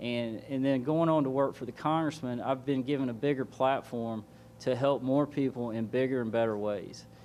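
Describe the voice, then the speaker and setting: With a Southern US accent, a man speaks at a medium pitch and a moderate pace, his intonation fairly even. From US South, Georgia. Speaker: political candidate. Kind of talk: opening statement at candidate forum. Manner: halting.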